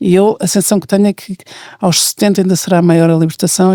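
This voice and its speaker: A woman with a dark, mellow tone and fairly low pitch, speaking at a fairly quick pace in a dry, close sound with no echo. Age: 60s. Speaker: podcast host. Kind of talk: casual chat.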